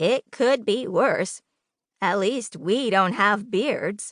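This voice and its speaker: A woman puts on a character voice at a medium pitch, speaking at a very slow pace. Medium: read story.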